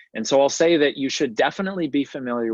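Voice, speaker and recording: Using a plain, everyday voice, a man talks at a fairly quick pace with lively intonation in a dry, close sound with no echo. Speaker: math education webinar presenter. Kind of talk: webinar tutorial. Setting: online webinar.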